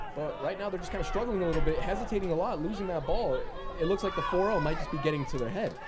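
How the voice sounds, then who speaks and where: Over crowd noise and audible room echo, a high-pitched man speaks very fast. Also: ordinary pitch variation. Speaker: soccer commentator. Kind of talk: live commentary. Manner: casual, conversational.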